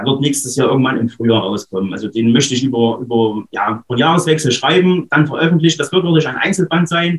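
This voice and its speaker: The speech moves at a fairly quick pace. It carries an eastern German accent. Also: man. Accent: eastern German, audible. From Saxony-Anhalt, eastern Germany. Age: 30s. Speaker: author. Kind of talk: interview.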